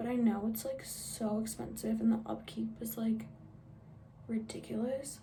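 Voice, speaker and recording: A woman speaks quietly at a moderate pace. There is audible room echo and noticeable background noise. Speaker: beauty vlogger. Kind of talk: makeup tutorial. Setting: at home. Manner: casual, chatty.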